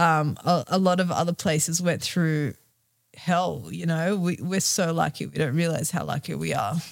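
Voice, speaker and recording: At a moderate pace, the speaker talks with an Australian accent and ordinary pitch variation. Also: woman, fairly low pitch for a woman. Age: 30s. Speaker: yoga teacher and travel retreat organiser. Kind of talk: casual interview.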